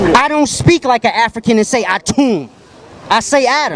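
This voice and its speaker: A man with an extremely high pitch and a Baltimore accent speaks in an animated tone at a moderate pace. There is music in the background, and the sound is dry and close with no echo. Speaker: street debater. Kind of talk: heated debate. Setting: outdoors on a street.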